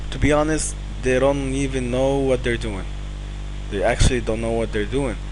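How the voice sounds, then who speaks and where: The man speaks with a non-native accent. Audible room echo and noticeable background noise are present. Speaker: online marketing instructor. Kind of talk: promotional talk to camera. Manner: halting, many fillers.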